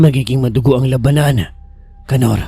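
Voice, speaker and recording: A man's raspy, put-on character voice, medium in pitch, with fairly even intonation at a moderate pace over clear music in the background. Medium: read story. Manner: blunt, terse.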